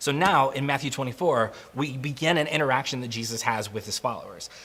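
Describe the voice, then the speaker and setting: A man talks at a very fast pace, his medium pitch moving with ordinary variation. Noticeable background noise runs under him. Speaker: guest pastor. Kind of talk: sermon. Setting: recorded without live audience.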